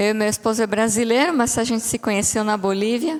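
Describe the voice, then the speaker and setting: This woman speaks with a Bolivian accent. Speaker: psychologist, guest speaker. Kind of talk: sermon. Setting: church. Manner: halting.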